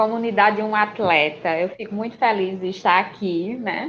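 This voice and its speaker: A woman at a fairly high pitch, ordinary pitch variation, fairly slow pace. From Pernambuco, Brazilian Northeast (Serra Talhada). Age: 30s. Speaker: podcaster, runner. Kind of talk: podcast interview. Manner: talkative.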